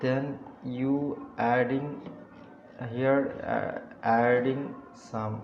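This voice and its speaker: A non-native accent comes through with fairly even intonation. Audible room echo and noticeable background noise surround the voice. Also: man. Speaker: web developer. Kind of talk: screen-recorded client feedback. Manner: halting, many fillers.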